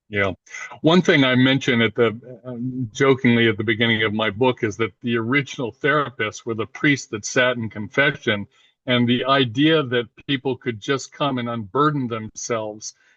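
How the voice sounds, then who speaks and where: A man speaks in an ordinary speaking voice at a medium pitch. His intonation stays fairly even at a moderate pace. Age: 60s. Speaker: therapist. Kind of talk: casual interview. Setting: video call.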